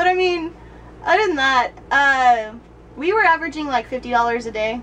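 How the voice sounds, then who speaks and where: Over noticeable background noise, a woman with a high voice talks at a fairly quick pace with lively intonation. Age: 20s. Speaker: travel blogger. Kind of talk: casual interview.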